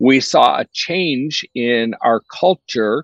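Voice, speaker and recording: With an American accent, a man speaks in a medium pitch, the sound dry and close with no echo. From US. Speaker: youth ministry leader. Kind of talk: interview conversation.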